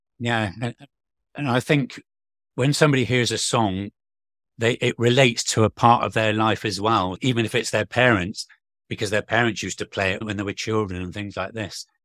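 In an unremarkable speaking voice, a man talks at a fairly quick pace with fairly even intonation and medium pitch, on a very clean recording with a silent background. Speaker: podcast host and radio presenter. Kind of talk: interview conversation with scripted intro.

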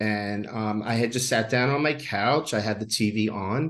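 Over a quiet background, a man with an American accent talks in a normal speaking voice, fairly low in pitch and at a fairly slow pace. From New York. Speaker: psychic medium. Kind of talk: interview.

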